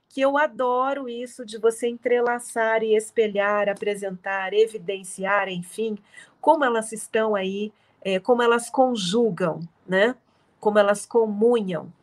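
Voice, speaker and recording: Fairly even intonation at a fairly slow pace. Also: woman, fairly high pitch for a woman. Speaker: literature professor. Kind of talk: lecture. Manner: soothing.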